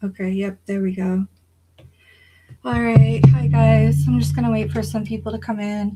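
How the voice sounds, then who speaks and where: A woman speaks with long, frequent pauses. Music plays in the background. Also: moderate pace. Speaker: livestreamer. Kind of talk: casual livestream chat. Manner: hesitant, many fillers.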